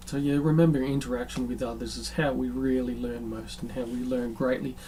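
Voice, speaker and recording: Very fast speech with audible room echo. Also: man. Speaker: spiritual podcast host. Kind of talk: solo monologue on spirituality. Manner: hesitant, many filler ums.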